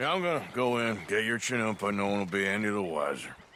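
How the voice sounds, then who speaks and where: In a put-on character voice, the raspy speaker races along at a very fast pace with ordinary pitch variation and clear background noise behind. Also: man, fairly low pitch for a man. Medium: video game. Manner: laconic, dry.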